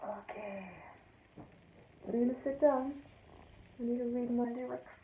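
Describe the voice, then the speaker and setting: A woman's high voice comes with fairly even intonation, audible room echo and noticeable background noise. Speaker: amateur songwriter sharing a video. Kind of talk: casual pre-recorded video intro. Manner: slow; hesitant, many ums.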